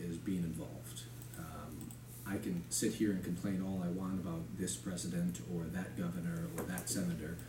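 Against noticeable background noise, a man with a very deep, low pitch talks at a moderate pace. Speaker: candidate. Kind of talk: interview answer. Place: meeting room.

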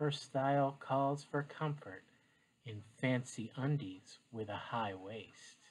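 Soft-spoken, a man talks at a very slow pace with ordinary pitch variation. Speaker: teacher. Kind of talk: reading aloud. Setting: home, living room floor. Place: home room. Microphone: webcam.

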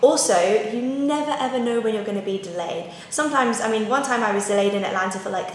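There is audible room echo and light background noise. A woman speaks with ordinary pitch variation. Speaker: lifestyle vlogger. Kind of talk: casual vlog tips. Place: kitchen.

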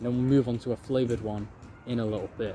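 A man with ordinary pitch variation over light background noise. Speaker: food review host. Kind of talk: casual vlog chat. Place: garden.

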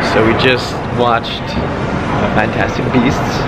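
Very slow speech over loud background noise. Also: man. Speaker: vlogger. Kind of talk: casual vlog chat. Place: hall. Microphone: phone near.

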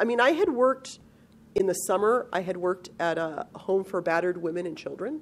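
A woman talks at a fairly quick pace in a medium pitch, with lively intonation. Hers is a plain, everyday voice. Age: 50s. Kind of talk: interview answer.

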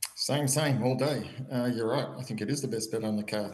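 At a moderate pace, a man with an Australian accent speaks at medium pitch with fairly even intonation, audible room echo around him. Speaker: horse racing tipster. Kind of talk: casual chat.

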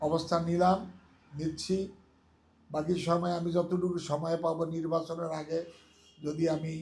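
A man speaks in a high voice with monotone, flat intonation. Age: 70s. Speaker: lawyer and election advisor. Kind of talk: campaign speech.

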